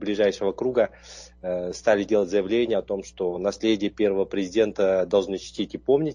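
A man speaks at a moderate pace with a fairly low pitch. His tone is dark and mellow, and his intonation is fairly even. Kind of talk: interview. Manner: halting, with fillers.

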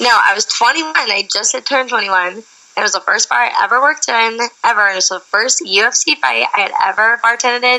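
A woman at a moderate pace, fairly high in pitch with ordinary pitch variation, against noticeable background noise. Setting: phone call.

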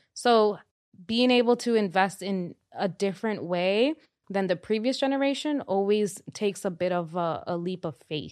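The intonation of this woman is lively. She talks with a Spanish accent. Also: medium pitch for a woman, moderate pace. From Dominican Republic. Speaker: personal finance expert. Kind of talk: casual interview chat. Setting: studio.

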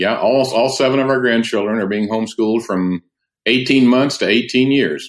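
Speaking at a moderate pace, a man has an unremarkable speaking voice, medium pitch and ordinary pitch variation. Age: 60s. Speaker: curriculum publisher and homeschool father. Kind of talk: casual interview chat. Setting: remote call.

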